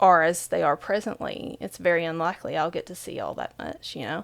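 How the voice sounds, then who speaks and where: A woman with an Appalachian accent at a moderate pace. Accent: Appalachian accent, often commented on. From Southeastern Kentucky, central Appalachia. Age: 40s. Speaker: author and spiritual speaker. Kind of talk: podcast interview. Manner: conversational, many fillers.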